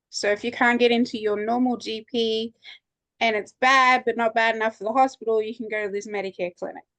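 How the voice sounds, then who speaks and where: A woman in an Australian accent speaks fairly quickly at a fairly high pitch with monotone, flat intonation, the sound dry and close with no echo. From Australia, Townsville. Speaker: student. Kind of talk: online workshop discussion.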